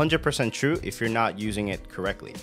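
Faint background music under a man talking at a moderate pace. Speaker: tech content creator. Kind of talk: casual vlog commentary. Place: home room. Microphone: studio mic.

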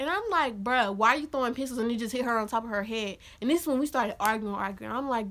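A woman talks loudly at a very fast pace in a high pitch with a bright, sharp tone. Her delivery is animated, with lively intonation. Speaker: YouTuber telling storytime. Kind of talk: angry rant, animated storytelling. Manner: loud, heated, sassy, fast, animated. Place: home room. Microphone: phone near.

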